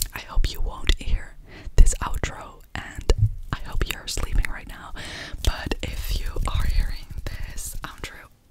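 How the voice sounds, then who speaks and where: Whispering and soft-spoken, a woman talks at a very slow pace in a dry sound with no echo, over loud background noise. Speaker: ASMR creator. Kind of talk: soft-spoken ASMR outro chat. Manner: soft close-mic ASMR whisper. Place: home room. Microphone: studio mic.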